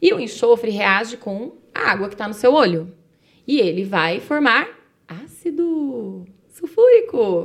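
Speaking fairly slowly, a woman uses a fairly high pitch with very wide pitch swings. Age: 40s. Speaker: chemistry teacher. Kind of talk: casual explanatory chat.

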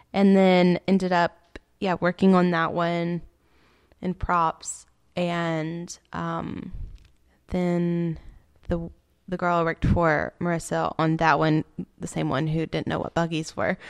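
A very slow voice in a Southern US accent, with long, frequent pauses, monotone, flat intonation and a dry, close sound with no echo. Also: woman, fairly low pitch for a woman. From northeastern Alabama (Sand Mountain). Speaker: film crew worker. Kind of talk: casual chat.

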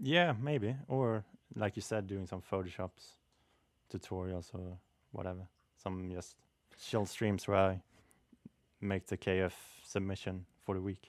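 In a Swedish accent, a man with a very deep, low pitch speaks at a fairly slow pace with long, frequent pauses and ordinary pitch variation, on a very clean recording with a silent background and a dry, close sound with no echo. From Sweden. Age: 20s. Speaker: graphic artist and waiter. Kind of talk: casual interview.

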